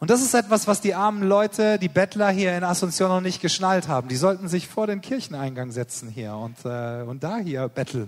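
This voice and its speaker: Barely pausing, a man talks in a high pitch with very wide pitch swings. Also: moderate pace. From Germany. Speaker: missionary preacher. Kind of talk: sermon.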